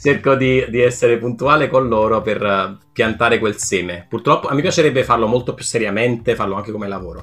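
A man at medium pitch with ordinary pitch variation, fairly quick and with hardly any pauses, big swings in loudness, music in the background. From Italy, Naples. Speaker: game designer. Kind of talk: podcast interview. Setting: remote call.

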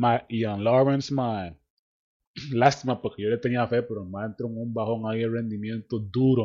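A man talks at a moderate pace. His medium pitch carries fairly even intonation. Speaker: podcast host. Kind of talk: casual chat.

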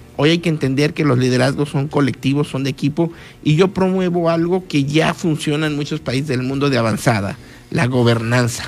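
A man with a fairly high pitch talks at a fairly quick pace, using ordinary pitch variation. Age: 40s. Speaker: politician. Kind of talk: radio interview. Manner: halting, with frequent fillers and repetitions.

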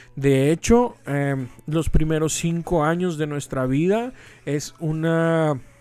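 Against music in the background, a man with a Mexican accent speaks at a very slow pace with a fairly high pitch. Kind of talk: casual inspirational talk.

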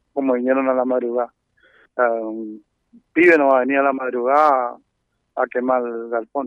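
This man's voice sits at a medium pitch, moving at a moderate pace with fairly even intonation. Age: 60s. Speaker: brickworks owner and racehorse owner. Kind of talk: on-site news interview.

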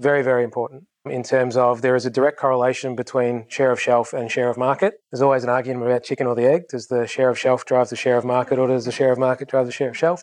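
The man's intonation stays flat and monotone. He talks very fast. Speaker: industry manager presenting. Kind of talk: conference presentation. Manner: casual, self-deprecating.

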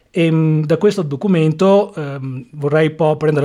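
Fairly high male voice, dark and mellow in tone. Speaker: podcast host and interviewer. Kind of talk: interview.

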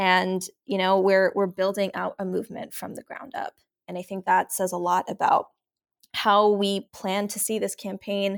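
A woman's plain, everyday voice with fairly even intonation, on a very clean recording against a silent background. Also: dry, close sound with no echo. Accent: American. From New York City (Glen Oaks, Queens). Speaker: political candidate and organizer. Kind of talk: interview.

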